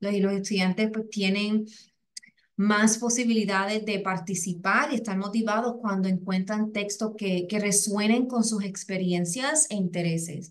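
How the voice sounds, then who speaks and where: A woman with a Puerto Rican accent and fairly even intonation. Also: medium pitch for a woman, fairly slow pace. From Puerto Rico. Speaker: educator, English as a second language specialist. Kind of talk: webinar presentation. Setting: online webinar. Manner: halting, many fillers and repetitions.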